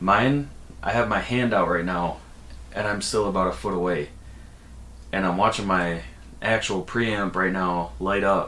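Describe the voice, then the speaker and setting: Long, frequent pauses break up a man's speech, which has a fairly low pitch, lively intonation and audible room echo. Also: fairly slow pace. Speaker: vlogger. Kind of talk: casual vlog talk. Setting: home room being redone. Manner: casual, many fillers. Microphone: new dynamic broadcast mic with preamp, gain being adjusted; far from the mic, about a foot.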